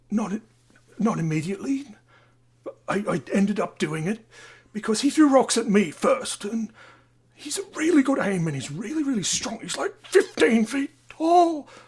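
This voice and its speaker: In a put-on character voice, the speaker keeps a moderate pace at a fairly high pitch with very wide pitch swings. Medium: stage play. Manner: excitable, intense.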